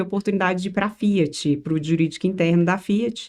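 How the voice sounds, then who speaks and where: A woman's dark, mellow tone at medium pitch. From Brazil, Minas Gerais. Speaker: tax law professor and lawyer. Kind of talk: podcast interview.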